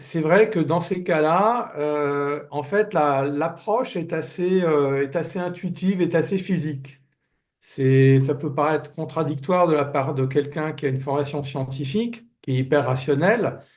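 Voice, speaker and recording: This man talks at a fairly high pitch and a fairly slow pace. His pitch varies in an ordinary way. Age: 60s. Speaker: business turnaround manager. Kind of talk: interview. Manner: hesitant, many fillers.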